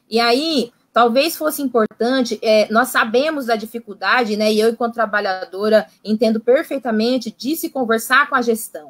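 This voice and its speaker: A woman speaks at a moderate pace with a fairly high pitch and ordinary pitch variation, barely pausing. The sound is dry and close, with no echo. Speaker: psychologist in social assistance services. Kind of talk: online panel discussion.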